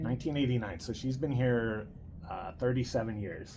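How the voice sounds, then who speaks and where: A normal speaking voice from a man, medium-pitched, at a moderate pace. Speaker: host and grandson interviewer. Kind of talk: casual interview talk.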